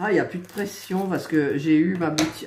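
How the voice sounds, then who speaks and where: Through noticeable background noise and audible room echo, a woman speaks at a moderate pace, fairly low in pitch with ordinary variation. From eastern France. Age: 60s. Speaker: crafts YouTuber. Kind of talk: casual chat. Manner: hesitant, many fillers.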